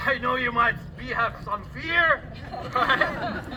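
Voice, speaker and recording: A man talks at a very slow pace, and noticeable background noise is audible. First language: not English. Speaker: rally speaker. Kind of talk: public speech.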